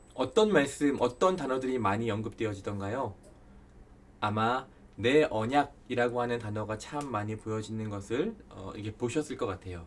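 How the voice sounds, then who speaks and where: At a moderate pace, a man with a plain, everyday voice speaks at a medium pitch with ordinary pitch variation. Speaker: Bible study lecturer. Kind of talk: lecture. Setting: recorded online lecture video.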